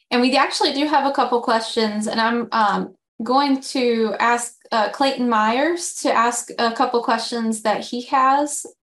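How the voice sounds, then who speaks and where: The delivery is fairly slow, with fairly even intonation and very even loudness. The background is quiet. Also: woman. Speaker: communications director, webinar host; webinar host. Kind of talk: webinar introduction. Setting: video call. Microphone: video call.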